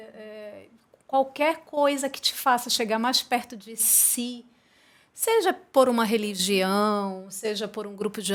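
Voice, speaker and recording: Her pace is very slow. The woman's pitch shifts in an ordinary way. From Brazil, Roraima. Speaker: podcast host. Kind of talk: casual chat. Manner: slow, calm, measured; low energy.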